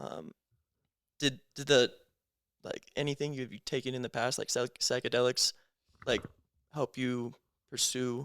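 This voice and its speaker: Someone with an American accent talks at a fairly slow pace, the sound dry and close with no echo. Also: man. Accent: Americanized. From United States, half Lebanese. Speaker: podcast host. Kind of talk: casual chat. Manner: animated, filler-heavy.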